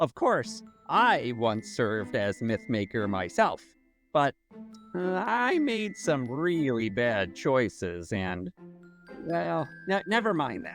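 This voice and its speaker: Faint music plays behind a put-on character voice pitched low-to-middle and delivered at a fairly slow pace. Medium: audio drama. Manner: fussy, exclamatory, refers to himself in third person.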